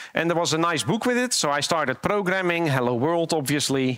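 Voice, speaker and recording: A man with lively intonation, recorded in a dry sound with no echo against a quiet background. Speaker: conference speaker. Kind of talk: conference talk, storytelling. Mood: light, humorous. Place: stage. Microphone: headset.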